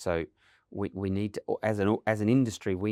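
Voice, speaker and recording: A man with an Australian accent talks at a fairly quick clip, recorded very cleanly against a silent background, with a dry, close sound and no echo. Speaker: automotive industry association CEO. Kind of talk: podcast interview.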